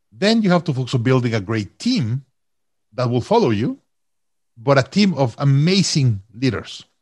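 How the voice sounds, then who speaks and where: A man with a Mexican accent talks at a moderate pace and medium pitch. His somewhat breathy voice has lively intonation. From Mexico. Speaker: company CEO and author. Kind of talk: casual interview.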